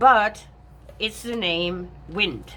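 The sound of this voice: With a fairly bright tone and ordinary pitch variation, the speaker goes at a very slow pace. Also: woman, fairly low pitch for a woman.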